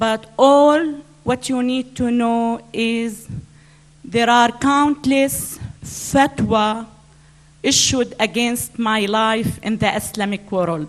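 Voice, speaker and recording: Speaking very slowly, a woman uses a fairly high pitch and ordinary pitch variation. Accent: Arabic. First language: Arabic. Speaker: author, speaker. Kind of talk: public speech. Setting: stage with audience at conference.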